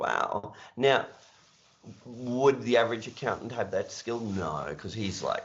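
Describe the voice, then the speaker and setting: A man speaks at a fairly slow pace, leaving long, frequent pauses. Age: 60s. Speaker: accounting business mentor. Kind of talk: podcast interview.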